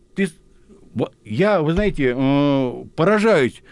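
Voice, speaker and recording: The speaker is a man. His voice rises and falls across a very wide range. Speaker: military historian, retired colonel. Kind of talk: radio interview. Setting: studio. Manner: animated.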